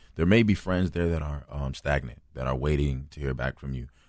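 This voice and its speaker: A man speaks with a very deep, low pitch and vocal fry. His intonation stays fairly even. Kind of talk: casual faith conversation. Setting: studio.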